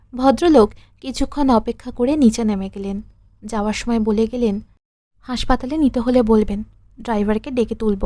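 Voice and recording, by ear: The background is quiet as someone reads aloud in a natural voice, the pitch varying in an ordinary way.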